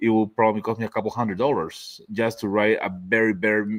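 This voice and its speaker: A man of medium pitch with a non-native accent speaks at a moderate pace, in a dry, close sound with no echo on a very clean recording with a silent background. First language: not English. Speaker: laser accessory maker. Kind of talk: casual chat.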